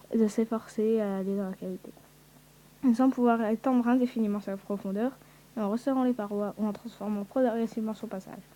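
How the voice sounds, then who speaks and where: A woman's fairly high voice, dark and mellow in tone, at a fairly quick pace. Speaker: youtuber. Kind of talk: reading aloud. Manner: halting.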